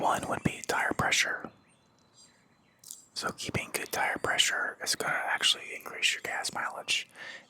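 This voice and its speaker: A man whispers in a relaxed tone at a fairly slow pace with long, frequent pauses. There is noticeable background noise. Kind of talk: casual talk to camera. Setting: outdoors by a fire pit. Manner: whispered, relaxed.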